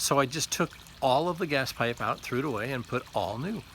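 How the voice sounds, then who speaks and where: A man speaks fairly quickly with noticeable background noise present. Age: 60s. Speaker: lay preacher giving devotionals. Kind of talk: devotional talk. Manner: halting, with repeated words and fillers.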